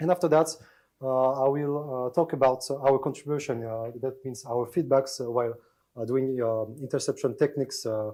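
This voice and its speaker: Dark and mellow in tone, the voice moves at a moderate pace with fairly even intonation. Nothing but silence sits behind it in a very clean recording. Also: man. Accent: French. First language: French. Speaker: security researcher. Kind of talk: conference talk. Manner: halting, many fillers.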